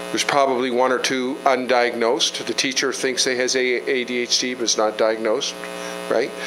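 Noticeable background noise behind a man's moderately paced speech, monotone and flat in intonation. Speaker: provincial politician. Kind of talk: community meeting. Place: meeting room. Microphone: handheld.

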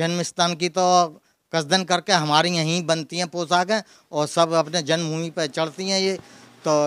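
Against a quiet background, a man speaks in a high pitch with monotone, flat intonation, the sound dry with no echo. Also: fairly slow pace. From Mathura, Braj region, India; India. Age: 70s. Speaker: deity costume tailor. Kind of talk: interview. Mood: friendly, proud, smiling. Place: home room. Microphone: handheld.

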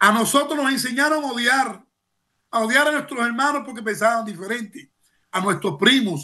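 Over a quiet background, a man uses a raised, projected voice at an extremely high pitch, with a bright, sharp tone, lively intonation and a moderate pace. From Cuba. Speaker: former political prisoner and human rights activist. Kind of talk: news interview testimony. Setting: remote video link. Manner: halting with repetitions; impassioned. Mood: indignant, emotional. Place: home room. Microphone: webcam.

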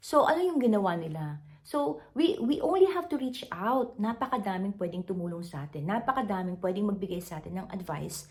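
Talking at a fairly quick pace with hardly any pauses, a woman uses a medium pitch in a somewhat breathy voice. Her pitch swings very widely, and her loudness swings a lot too. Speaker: content creator. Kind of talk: motivational talk to camera. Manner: halting, frequent fillers.

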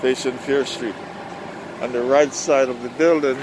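A man speaks with fairly even intonation. The sound is dry with no echo, though there is noticeable background noise. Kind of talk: casual vlog commentary. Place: street. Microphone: phone near.

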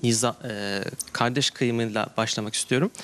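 With fairly even intonation, a man talks at a moderate pace. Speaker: university student; questioner. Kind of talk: audience question. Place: studio. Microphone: handheld.

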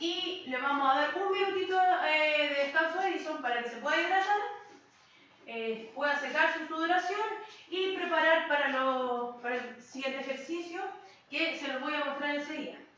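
A woman at a high pitch, with ordinary pitch variation, a moderate pace and strong room echo. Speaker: fitness instructor. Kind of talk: tutorial. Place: empty room. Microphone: camera far.

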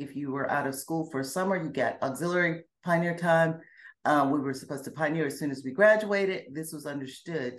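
With an American accent, a woman talks at a fairly quick pace in a very deep, low voice, using ordinary pitch variation. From US South, Alabama and Georgia. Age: 50s. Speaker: former Jehovah's Witness. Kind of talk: interview, personal testimony. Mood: reflective, earnest. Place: home room. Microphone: video call.

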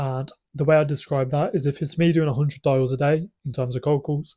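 A man with a fairly high pitch and a dark, mellow, somewhat breathy tone talks at a moderate pace with fairly even intonation over a quiet background. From UK. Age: 20s. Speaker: business owner vlogger. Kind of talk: casual vlog monologue. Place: home room. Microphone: phone near.

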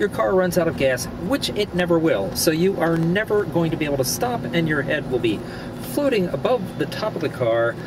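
The speech moves at a moderate pace, the sound dry with no echo and noticeable background noise behind it. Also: man. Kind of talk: comic road rant monologue. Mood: mock-angry, humorous. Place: car. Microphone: camera far.

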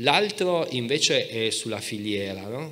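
In a bright, sharp tone, a man delivers his words at a fairly slow pace. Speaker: historian; speaker. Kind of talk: panel debate. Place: stage. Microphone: handheld.

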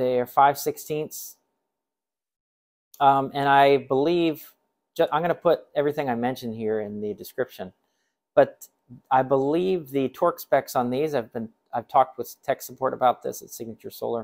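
A man speaks at a moderate pace, leaving long, frequent pauses. His loudness swings widely, his pitch varies ordinarily, and the background is quiet. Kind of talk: casual product explanation. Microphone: phone near.

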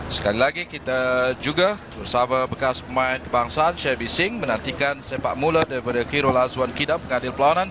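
Against noticeable background noise, a man talks at a fairly quick pace with hardly any pauses. His pitch is medium with ordinary variation, and his loudness stays very even. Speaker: match commentator. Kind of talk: live football commentary, play-by-play. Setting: stadium.

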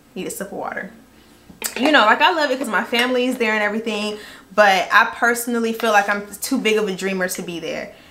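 The tone is animated and the pace very fast, with big swings in loudness. Pitch varies an ordinary amount. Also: woman, fairly high pitch for a woman. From Jacksonville, Florida. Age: 20s. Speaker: YouTube beauty vlogger. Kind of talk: get-ready-with-me story time chat. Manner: animated, chatty. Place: home room. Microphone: camera far.

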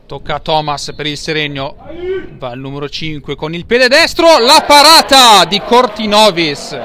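Big swings in loudness and very wide pitch swings mark this man's high voice, recorded dry with no echo over light background noise. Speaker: football commentator. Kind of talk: live sports commentary of a match. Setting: stadium, commentating from the ground. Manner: fast, breathless, excitable play-by-play; rising intensity at goals and penalties. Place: stadium.

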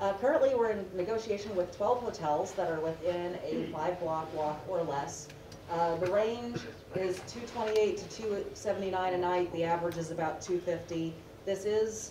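A woman speaks at a fairly slow pace with ordinary pitch variation. Background noise is noticeable. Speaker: presenter. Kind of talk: panel presentation. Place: meeting room. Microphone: camera far.

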